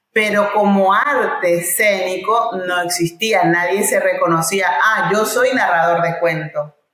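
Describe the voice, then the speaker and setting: A woman of medium pitch speaks at a fairly slow pace with hardly any pauses. Her loudness stays very even, with ordinary pitch variation. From Paraguay. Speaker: oral storyteller and actress. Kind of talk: interview conversation. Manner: halting.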